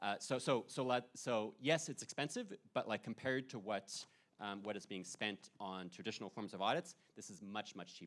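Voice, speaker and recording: With lively intonation and big swings in loudness, a man speaks in a fairly low pitch. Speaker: political scientist presenting research. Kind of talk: conference Q&A response. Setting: conference session with audience. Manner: fast; halting, many repetitions and fillers.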